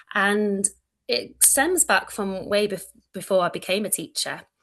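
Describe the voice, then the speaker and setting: With a Mancunian accent and a bright, sharp tone, a woman talks at a medium pitch and a fairly slow pace against a quiet background. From Manchester, northern England. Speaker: early childhood educator, lecturer. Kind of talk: online presentation. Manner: loud.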